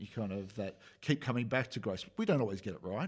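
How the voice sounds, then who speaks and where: A man speaks in an Australian accent at a medium pitch. His pitch varies in an ordinary way, and the recording is very clean with a silent background. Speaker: pastor. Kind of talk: casual chat.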